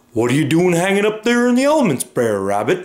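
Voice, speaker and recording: Putting on a character voice, a man talks at a fairly quick pace in a high pitch. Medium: read story. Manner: folksy.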